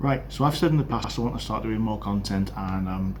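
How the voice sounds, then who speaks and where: The speech comes at a fairly quick pace. Room echo is audible. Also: man. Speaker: podcaster on railway safety. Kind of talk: casual monologue update. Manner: fast.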